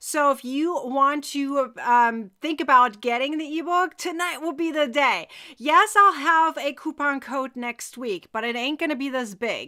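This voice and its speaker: With a German accent, a woman speaks fairly slowly in a high, raised, projected voice with a bright, sharp tone, captured on a very clean recording with a silent background. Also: ordinary pitch variation, hardly any pauses. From Germany. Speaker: crochet teacher. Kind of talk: live tutorial. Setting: live stream. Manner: loud; casual chatty.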